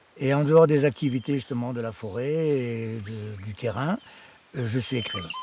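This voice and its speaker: A man speaks at a moderate pace in a medium pitch, with ordinary pitch variation and noticeable background noise. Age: 60s. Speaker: writer living in the forest. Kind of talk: documentary interview testimony. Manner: halting, repeats words.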